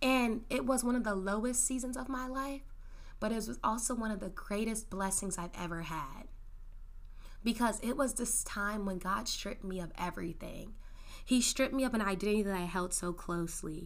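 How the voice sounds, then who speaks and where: A woman with a fairly high pitch speaks in an animated tone at a moderate pace, with ordinary pitch variation. Audible room echo surrounds her voice. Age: 20s. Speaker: solo podcast host. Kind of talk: casual monologue. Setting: home studio in bedroom.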